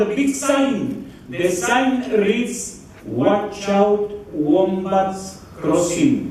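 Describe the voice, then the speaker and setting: A man's lively intonation with hardly any pauses, amid noticeable background noise and audible room echo. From Latin America (Mexico). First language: Spanish. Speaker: comedian and entertainer. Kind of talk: stand-up comedy at a wedding. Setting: wedding reception with microphone. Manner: animated.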